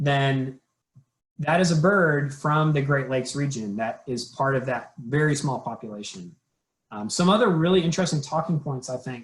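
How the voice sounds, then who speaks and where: A somewhat breathy man's voice, fairly high in pitch, at a moderate pace with ordinary pitch variation. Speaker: conservation program trainer. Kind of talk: training webinar presentation.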